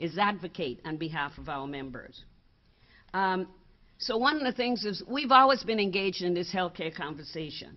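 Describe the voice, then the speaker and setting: Speaking at a moderate pace with lively intonation, a woman with a Virgin Islands accent talks at a medium pitch. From US Virgin Islands. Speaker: advocacy organization board member. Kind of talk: seminar presentation. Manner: halting.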